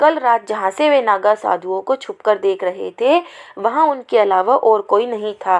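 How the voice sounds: The intonation is lively as a natural reading voice goes on.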